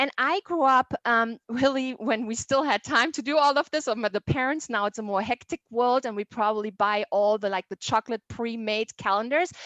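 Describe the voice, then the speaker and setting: With a German accent and lively intonation, a woman talks in a high voice, the sound dry and close with no echo. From southern Germany. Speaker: tourism sales manager. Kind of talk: presentation.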